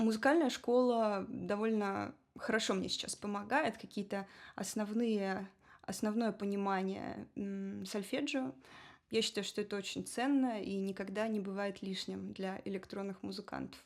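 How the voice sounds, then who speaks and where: An unremarkable speaking voice, a woman's, moves at a fairly slow pace with medium pitch and ordinary pitch variation on a very clean recording with a silent background. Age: 30s. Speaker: electronic musician and singer. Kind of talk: podcast interview.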